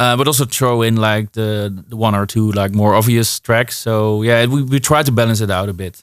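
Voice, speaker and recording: In a very clean recording with a silent background, a man with a Dutch accent talks with fairly even intonation and hardly any pauses. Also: medium pitch for a man, moderate pace. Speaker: DJ. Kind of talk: casual chat. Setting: studio.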